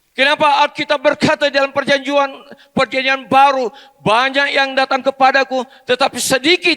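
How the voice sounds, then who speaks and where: A man's raised, projected voice at an extremely high pitch, bright, sharp tone, very even loudness, fairly even intonation, dry, close sound with no echo. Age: 70s. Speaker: pastor. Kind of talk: sermon. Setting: church.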